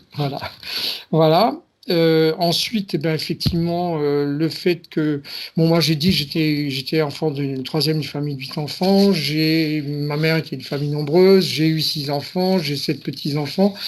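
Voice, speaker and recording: This man's voice sits at a fairly high pitch, moving at a fairly slow pace with fairly even intonation. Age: 60s. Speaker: client in a hypnosis session. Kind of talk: interview. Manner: halting.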